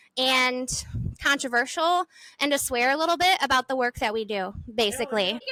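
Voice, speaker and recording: In an American accent, a woman projects a raised, high-pitched voice with a bright, sharp tone and lively intonation, the sound dry and close with no echo. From Michigan. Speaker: podcast host and placemaking consultant. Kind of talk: casual chat. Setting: recorded on location at a stadium.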